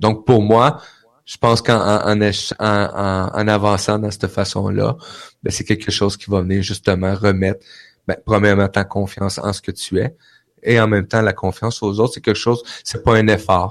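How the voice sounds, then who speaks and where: A man with a Quebec accent, fairly low-pitched, at a moderate pace, in a monotone, flat intonation. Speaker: radio founder and guest. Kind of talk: casual chat. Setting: live online broadcast. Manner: warm, grateful.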